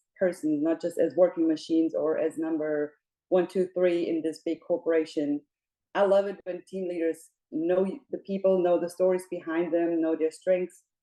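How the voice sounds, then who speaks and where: A woman with a German accent speaks at a moderate pace in a dark, mellow tone, her pitch fairly low and her intonation fairly even. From Germany, Munich. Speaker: operations and people manager, job seeker. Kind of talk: interview.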